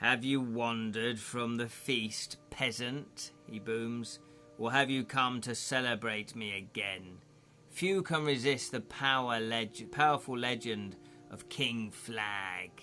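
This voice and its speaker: A man's booming, put-on character voice at medium pitch and a fairly slow pace, over clear background music. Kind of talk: archaic, regal. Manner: boastful, cruel, mocking.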